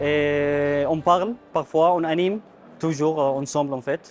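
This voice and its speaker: Over music in the background, a man with a fairly high pitch speaks with fairly even intonation. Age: 20s. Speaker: refugee trainee. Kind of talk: interview. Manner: halting.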